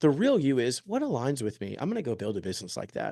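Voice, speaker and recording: A man talks at a very fast pace with a dark, mellow tone. The background is quiet. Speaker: real estate agent. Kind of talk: presentation.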